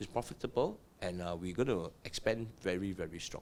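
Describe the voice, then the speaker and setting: A man talks at a fairly quick pace. He has a Singaporean accent. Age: 60s. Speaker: property investor and business owner. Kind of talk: podcast interview. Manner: animated.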